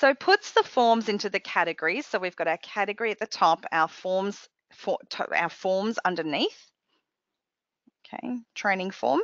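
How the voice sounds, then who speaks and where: A woman's voice at a medium pitch, with lively intonation. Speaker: software trainer presenting a webcast. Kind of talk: software tutorial webcast. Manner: fast.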